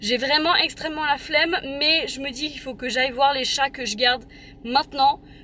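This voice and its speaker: Over noticeable background noise, a woman uses a raised, projected voice at a high pitch, moving at a moderate pace with ordinary pitch variation and big swings in loudness. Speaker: vlogger. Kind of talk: vlog monologue. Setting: underground car park.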